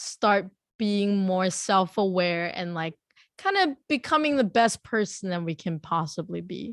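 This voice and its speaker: An unremarkable speaking voice moves at a fairly slow pace with lively intonation, the sound dry and close with no echo. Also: woman, medium pitch for a woman. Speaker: podcast host. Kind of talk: interview question.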